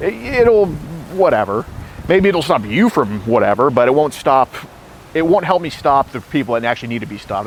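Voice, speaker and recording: Loud and fairly quick, a man at medium pitch speaks with very wide pitch swings against noticeable background noise. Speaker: predator-catcher confronting a suspect. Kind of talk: confrontational interview.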